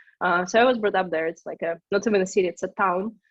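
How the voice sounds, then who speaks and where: A medium-pitched woman with a Russian accent. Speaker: startup co-founder. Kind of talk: interview.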